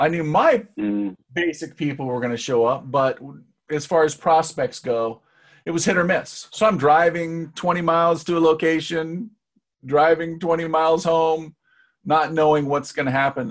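A man with a fairly high pitch and an unremarkable speaking voice talks at a moderate pace with ordinary pitch variation. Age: middle-aged. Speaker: marketing entrepreneur. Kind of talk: casual interview.

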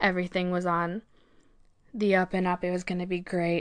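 A woman talks with an American accent at a medium pitch. The background is quiet. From US Midwest, rural Illinois. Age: 20s. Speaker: vlogger and forex trader. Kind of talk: personal storytelling vlog.

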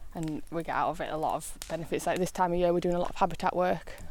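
With a Yorkshire accent, a woman talks at a fairly low pitch and with fairly even intonation. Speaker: countryside ranger. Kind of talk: interview. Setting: outdoors.

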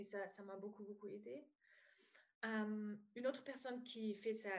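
Speaking with a slight German accent, a woman uses a fairly high pitch. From Germany (former East). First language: German (speaking French). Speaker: psychologist and business coach. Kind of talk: podcast interview. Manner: hesitant, many fillers.

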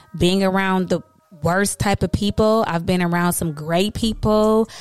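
A woman speaking at a fairly slow pace with fairly even intonation, music in the background. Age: 30s. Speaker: podcast host. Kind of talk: casual monologue.

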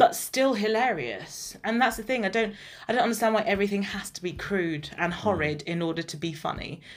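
A woman talks at a fairly quick pace with an English accent. Her pitch is medium and her intonation lively. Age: 20s. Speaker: podcast co-host. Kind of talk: casual chat.

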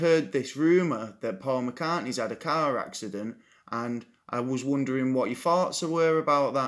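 The recording is very clean and the background silent. In an English accent, a man talks with ordinary pitch variation. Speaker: podcast host. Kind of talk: casual chat.

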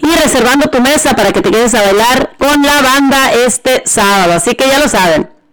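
A woman speaks at a moderate pace with a high, animated voice and lively intonation, her loudness very even and her pauses hardly any. Noticeable background noise runs under the recording. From Mexico, Jalisco. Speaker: radio host. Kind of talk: radio show with event promos.

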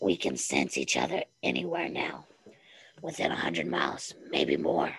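A put-on character voice, raspy and husky. The pitch is very deep and low. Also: moderate pace. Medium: read story. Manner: quiet, terse.

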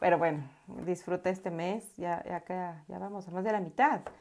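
This woman speaks at a fairly slow pace. Her pitch sits fairly low. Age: 30s. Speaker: podcaster and life coach. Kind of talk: casual personal monologue. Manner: halting with frequent repetitions.

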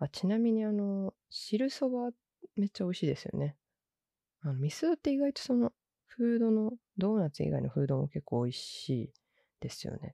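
A woman's medium-pitched voice with a dark, mellow tone, very wide pitch swings, a moderate pace, and a dry, close sound with no echo. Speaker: podcast host. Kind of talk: casual solo podcast talk.

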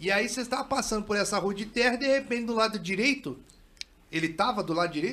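Raising and projecting his high-pitched voice, a man talks at a very fast pace with ordinary pitch variation. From São Paulo state interior, Brazil. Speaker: podcast host. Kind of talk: casual chat.

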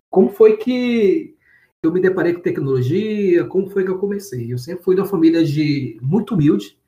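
The voice has a dark, mellow tone and lively intonation, moving at a moderate pace. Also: man, high pitch for a man. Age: 30s. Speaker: data engineer. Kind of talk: interview. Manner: casual, with many fillers and repetitions.

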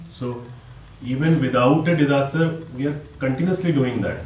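Lively intonation carries the moderately paced speech, with audible echo from the room. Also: man. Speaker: NGO founder. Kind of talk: interview conversation.

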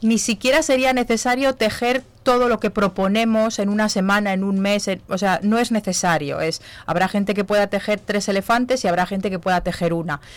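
This is a woman with a plain, everyday voice at a medium pitch. She speaks at a fairly quick pace with ordinary pitch variation. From Zamora, Spain. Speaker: knitting charity group organiser and entrepreneur. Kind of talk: radio interview. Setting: radio studio.

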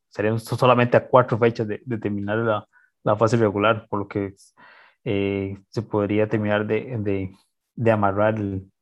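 Against a quiet background, a man talks in a fairly low pitch at a fairly slow pace with monotone, flat intonation. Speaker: football podcast co-host. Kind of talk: casual sports chat. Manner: halting.

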